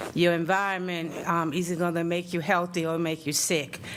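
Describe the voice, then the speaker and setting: A woman's fairly low voice with an American accent, at a fairly slow pace, with audible room echo. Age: 60s. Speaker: public commenter, nursing assistant. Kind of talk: public comment at council meeting. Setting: city council meeting room. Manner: halting, many fillers.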